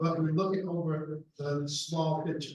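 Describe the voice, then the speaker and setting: Audible room echo surrounds a man with a high voice. He speaks at a fairly slow pace with fairly even intonation. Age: 70s. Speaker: political candidate. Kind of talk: candidate forum answers. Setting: public forum with mic.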